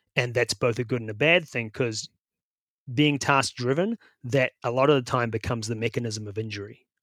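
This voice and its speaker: At a moderate pace, a man speaks at a medium pitch with ordinary pitch variation. The recording is very clean with a silent background, and the sound is dry and close with no echo. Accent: New Zealand. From New Zealand. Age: 50s. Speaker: bike fitter and coach. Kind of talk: interview. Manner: halting.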